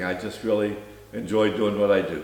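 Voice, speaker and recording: Noticeable background noise and audible room echo fill the recording. The male speaker keeps a moderate speed. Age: 80s+. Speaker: retired company founder and drag racer. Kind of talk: casual chat.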